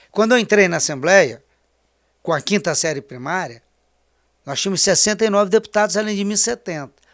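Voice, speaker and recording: A man at a high pitch with lively intonation and a fairly quick pace, on a very clean recording with a silent background. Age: 60s. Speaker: politician. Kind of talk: interview.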